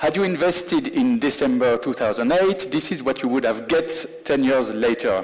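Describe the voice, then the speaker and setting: A man with a French accent over noticeable background noise. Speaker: chief investment officer. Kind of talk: presentation. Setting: stage with audience.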